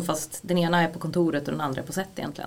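Through noticeable background noise, a woman talks at a very fast pace with fairly even intonation. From Sweden, Gävle. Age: 30s. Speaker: former actor, film assistant director. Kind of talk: casual interview. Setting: studio.

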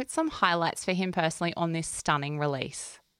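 Over a silent background in a very clean recording, a woman with an Australian accent speaks at a fairly quick pace. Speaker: music podcast host. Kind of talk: casual chat; scripted narration.

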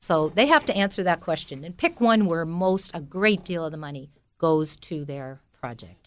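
An unremarkable speaking voice from a woman with an American accent, fairly low in pitch, with ordinary pitch variation, big swings in loudness, and a very clean recording over a silent background. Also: moderate pace. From US Northeast (Belleville, New Jersey). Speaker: tree planter and safari leader. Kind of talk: interview. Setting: studio.

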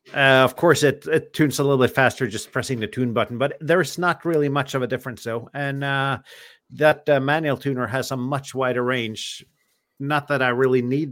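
Speaking at a fairly quick pace, a man with a normal speaking voice keeps a medium pitch and fairly even intonation. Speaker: ham radio show host. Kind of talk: casual chat. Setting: video call livestream.

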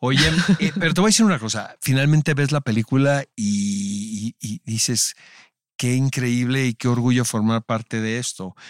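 A man's unremarkable speaking voice at medium pitch and a moderate pace, ordinary pitch variation, dry, close sound with no echo, and a very clean recording with a silent background. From Mexico, Tijuana. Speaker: podcast host. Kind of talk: casual interview chat.

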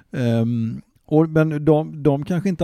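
On a very clean recording with a silent background, a man's voice comes through with a dark, mellow tone. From Gothenburg, Hisingen. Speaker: local historian and author. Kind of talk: casual chat. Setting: home living room.

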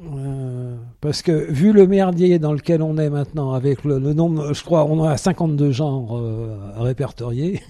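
The man's tone is dark and mellow. He talks at a very slow pace with ordinary pitch variation. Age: 60s. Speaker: retiree. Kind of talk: interview. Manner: halting.

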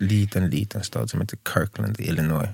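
A man's normal speaking voice, fairly low in pitch with ordinary variation, at a moderate pace. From Sweden, Stockholm southern suburbs. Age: 30s. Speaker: singer, former professional basketball player. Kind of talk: casual chat.

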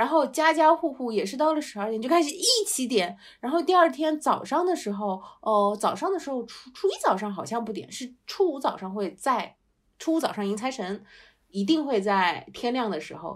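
A woman's high voice with very wide pitch swings, on a very clean recording with a silent background. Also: moderate pace. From Shanghai. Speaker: podcast co-host. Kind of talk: casual chat.

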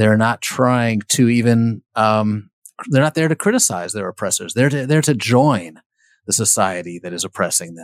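A man with an unremarkable speaking voice and medium pitch talks at a moderate pace with lively intonation. His loudness swings widely on a very clean recording with a silent background. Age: 50s. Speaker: biographer and author. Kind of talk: interview.

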